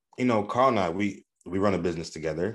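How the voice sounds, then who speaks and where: A man with a very deep, low voice and lively intonation speaks in an American accent. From Southwest Michigan. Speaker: podcast co-host. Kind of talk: casual podcast conversation.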